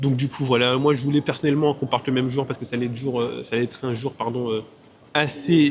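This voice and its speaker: A man's medium-pitched voice, somewhat breathy, holds fairly even intonation. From Martinique. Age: 20s. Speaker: travel vlogger. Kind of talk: casual vlog talk. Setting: airport.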